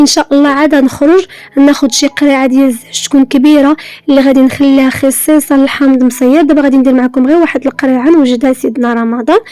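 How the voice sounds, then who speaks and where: A woman's high voice at a very fast pace, fairly even in intonation. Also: very even loudness. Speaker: home organizing vlogger. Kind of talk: casual vlog talk to viewers.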